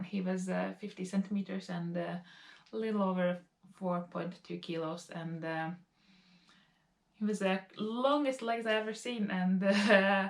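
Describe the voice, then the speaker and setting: With a Latvian accent, a woman of medium pitch and ordinary pitch variation speaks at a fairly slow pace with long, frequent pauses. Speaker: lifestyle vlogger. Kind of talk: casual talk to camera.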